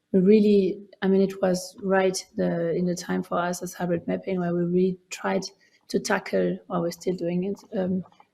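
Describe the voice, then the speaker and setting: A woman with a dark, mellow tone and medium pitch speaks at a moderate pace in a monotone, flat delivery. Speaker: researcher. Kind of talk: lecture. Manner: halting.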